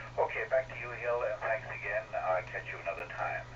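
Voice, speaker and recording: A man is heard with audible room echo. Noticeable background noise runs under his voice. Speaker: amateur radio operator. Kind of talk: casual chat. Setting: radio net over repeater. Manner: halting.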